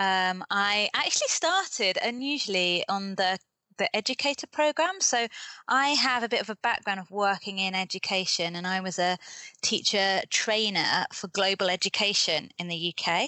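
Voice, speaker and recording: With a British accent, a woman speaks at a fairly slow pace and medium pitch, using ordinary pitch variation. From UK. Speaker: development worker and author. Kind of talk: casual interview. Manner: hesitant, many fillers.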